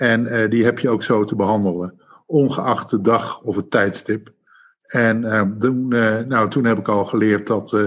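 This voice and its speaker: The man's voice holds a medium pitch and fairly even intonation, captured in a very clean recording over a silent background. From Netherlands, Rotterdam. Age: 50s. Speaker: retail executive. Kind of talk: interview. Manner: halting.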